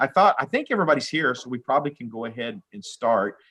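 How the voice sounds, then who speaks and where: Against a quiet background, a man with an American accent and a medium pitch talks at a fairly quick pace. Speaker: judge. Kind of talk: court hearing. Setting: video call. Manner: fast.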